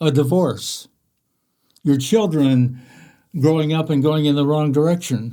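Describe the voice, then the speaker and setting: The recording is very clean, with a silent background. A man speaks in a dark, mellow tone at a fairly high pitch. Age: 80s+. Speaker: author. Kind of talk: talk. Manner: halting, frequent fillers.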